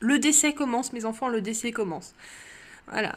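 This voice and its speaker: Her fairly high voice shows ordinary pitch variation as the woman speaks. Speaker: drawing youtuber. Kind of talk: casual vlog chat. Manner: hesitant, repeating words.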